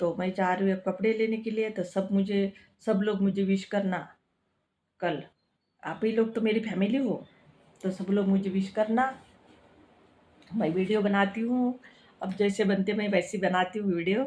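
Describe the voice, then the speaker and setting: A woman with a Marathi accent speaks at a medium pitch in a dark, mellow, somewhat breathy tone, with long, frequent pauses. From Maharashtra, India. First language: Marathi (speaking Hindi). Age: 60s. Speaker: cooking and health vlogger. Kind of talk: casual vlog talk. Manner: halting, with many restarts.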